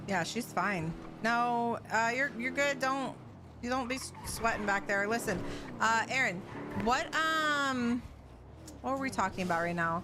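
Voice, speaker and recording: A woman speaks at a fairly high pitch with lively intonation, leaving long, frequent pauses. Music plays in the background. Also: fairly slow pace. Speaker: live streamer playing roleplay game. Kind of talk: casual chat. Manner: loud.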